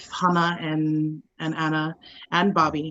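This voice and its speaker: A woman's fairly low-pitched voice in a Hawaii accent, with monotone, flat intonation and a fairly slow pace. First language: Hawaiian. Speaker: actor. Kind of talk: panel discussion. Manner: halting.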